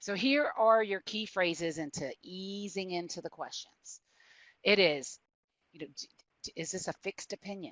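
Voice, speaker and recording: A woman with a Southern US accent speaks at a medium pitch with lively intonation. Her loudness swings widely. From US South. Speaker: prosecutor. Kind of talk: webinar presentation. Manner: fast.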